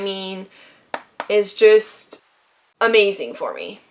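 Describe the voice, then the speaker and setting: A woman at a medium pitch with a Quebec accent. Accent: Quebec French-Canadian. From Quebec, Canada. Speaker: beauty vlogger. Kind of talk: casual talk to camera.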